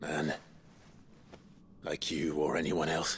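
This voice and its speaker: Against clear background noise, a man puts on a raspy character voice with a very deep, low pitch. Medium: short film. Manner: calm, measured.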